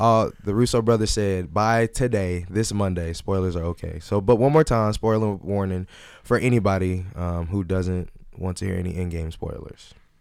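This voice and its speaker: A man speaks at a fairly low pitch with ordinary pitch variation. The recording is very clean, with a silent background. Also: moderate pace. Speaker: college podcast co-host. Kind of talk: casual chat.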